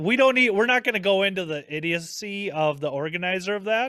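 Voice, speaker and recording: A man speaks at a fairly quick pace with a Minnesotan accent. His tone is animated, and his pitch varies in an ordinary way. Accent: Minnesota. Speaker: podcast host. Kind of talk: casual chat.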